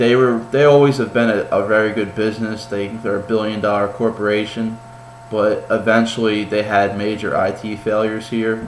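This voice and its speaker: A man speaks at a moderate pace in a fairly low voice with flat, monotone intonation. Noticeable background noise and audible room echo fill the recording. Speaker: college student. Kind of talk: class presentation. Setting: home kitchen. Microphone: poor laptop mic, shaky and vibrating.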